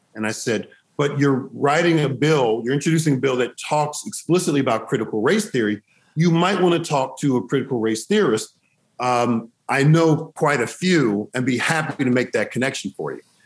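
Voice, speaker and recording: With ordinary pitch variation and a moderate pace, the man talks in a normal speaking voice. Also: fairly high pitch for a man. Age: 50s. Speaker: state legislator. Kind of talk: panel discussion.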